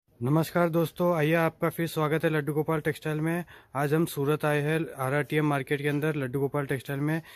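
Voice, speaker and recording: The voice is flat and monotone, at a moderate pace with very even loudness. The sound is dry with no echo, over a quiet background. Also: man. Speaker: market vlogger. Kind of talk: promotional vlog presentation. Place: shop. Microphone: phone near.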